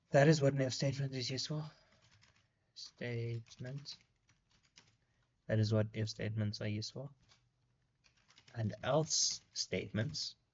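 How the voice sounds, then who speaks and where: Speaking at a fairly slow pace with long, frequent pauses, a man's somewhat breathy voice sits at a medium pitch with ordinary pitch variation. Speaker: coding tutorial creator. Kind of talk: screen-recorded coding tutorial. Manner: slow, typing while talking; casual, hesitant with fillers.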